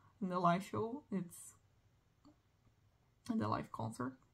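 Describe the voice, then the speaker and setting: A woman with a Portuguese accent speaks at a moderate pace in a somewhat breathy voice. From Brazil. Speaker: music collector vlogger. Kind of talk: casual monologue. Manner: halting.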